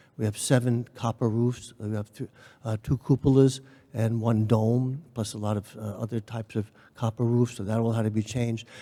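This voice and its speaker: In a very clean recording with a silent background, a man speaks at a medium pitch with an American accent. His dark, mellow tone stays monotone and flat at a moderate pace, the sound dry and close with no echo. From New York City. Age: 70s. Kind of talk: panel discussion. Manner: halting.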